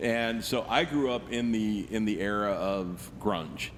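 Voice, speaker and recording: A man's fairly low voice at a very slow pace, with fairly even intonation and audible room echo. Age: 40s. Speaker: rock musician. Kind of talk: casual interview.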